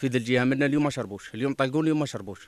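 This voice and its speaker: With no echo, the recording of this man sounds dry. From Algeria. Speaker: local resident. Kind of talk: street interview. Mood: complaining, insistent. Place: open country. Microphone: handheld.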